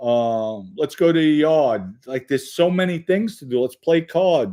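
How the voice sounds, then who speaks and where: Over a very clean recording with a silent background, a man speaks at a fairly slow pace with a fairly high pitch. His tone is dark and mellow, and his intonation lively. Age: 50s. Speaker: livestream host, former mobster. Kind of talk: live chat reading viewer comments. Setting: livestream. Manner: casual, conversational.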